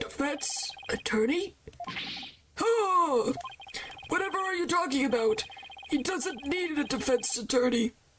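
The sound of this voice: In a put-on character voice that is raspy, husky and high-pitched, the speaker moves at a fairly slow pace with long, frequent pauses.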